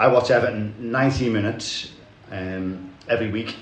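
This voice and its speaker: Amid noticeable background noise, a man with a Liverpool accent speaks at a fairly low pitch with fairly even intonation. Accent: Scouse. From Liverpool, England. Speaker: podcast host, football fan. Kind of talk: casual chat.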